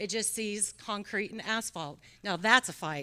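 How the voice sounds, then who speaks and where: Her tone is bright and sharp. The woman's pitch varies in an ordinary way. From North Carolina, Iredell County. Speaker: state senator. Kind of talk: award acceptance speech. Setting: luncheon event with audience.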